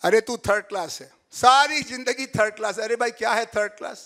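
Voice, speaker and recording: Raised, projected male speech, bright and sharp in tone. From Bhojpuri-speaking north India. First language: Bhojpuri (speaking Hindi). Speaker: professor. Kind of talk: lecture.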